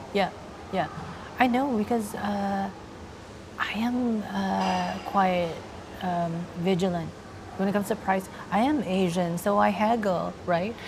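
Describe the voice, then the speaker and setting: A soft-spoken woman at a medium pitch talks at a fairly slow pace with ordinary pitch variation and long, frequent pauses, amid noticeable background noise and audible room echo. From Philippines, Laguna province. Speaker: transgender woman and actress interviewed. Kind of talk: interview. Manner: hesitant, many fillers.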